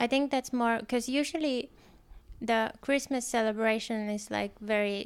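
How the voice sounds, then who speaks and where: On a very clean recording with a silent background, a woman with a Finnish accent speaks at a fairly high pitch. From Helsinki, Finland. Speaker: podcast co-host. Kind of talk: casual chat.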